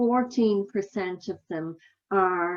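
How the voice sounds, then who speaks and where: A woman's medium-pitched voice with an Irish accent. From Ireland. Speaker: healthcare quality consultant. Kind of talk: conference talk.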